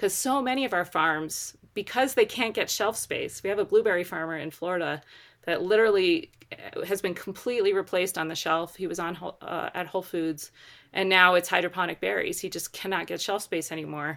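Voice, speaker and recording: In an American accent, a woman with a normal speaking voice talks at a fairly quick pace, her medium pitch showing ordinary variation. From Baltimore, Maryland, US. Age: 40s. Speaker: organic farmer and certification co-director. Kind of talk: interview conversation.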